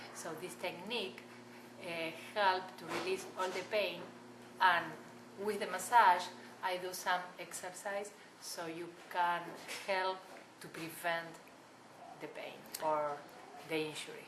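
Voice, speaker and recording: With audible room echo and noticeable background noise, the speaker talks at a fairly slow pace with long, frequent pauses, fairly even intonation and big swings in loudness. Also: woman, fairly low pitch for a woman. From Argentina. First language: Spanish. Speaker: massage therapist. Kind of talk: interview.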